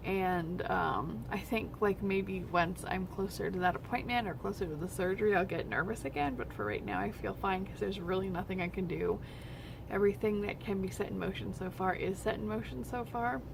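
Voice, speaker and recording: A soft-spoken woman talks at a fairly quick pace. Audible room echo surrounds her voice. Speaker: vlogger, medical office receptionist. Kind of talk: personal vlog update. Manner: hesitant, many fillers.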